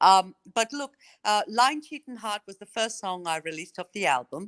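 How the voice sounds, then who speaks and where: Speaking at a moderate pace in an Australian accent, a woman has a medium pitch with very wide pitch swings and big shifts in loudness. The sound is dry and close with no echo, against a quiet background. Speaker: country singer. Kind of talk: radio interview.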